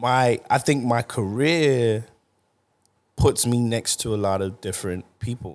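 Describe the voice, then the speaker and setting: On a very clean recording with a silent background, a man with an American accent speaks fairly slowly at a medium pitch. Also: ordinary pitch variation. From London, England (Tottenham), Nigerian parents. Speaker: music producer. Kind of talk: podcast interview. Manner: casual, conversational.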